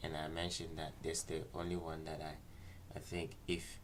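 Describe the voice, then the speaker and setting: Amid audible room echo, a man with a very deep, low pitch and vocal fry talks with ordinary pitch variation. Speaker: trading analyst livestreamer. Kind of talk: market analysis livestream.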